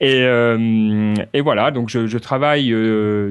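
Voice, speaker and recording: A man's medium-pitched voice against a quiet background. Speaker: podcaster and software worker. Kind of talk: interview. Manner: hesitant, many fillers.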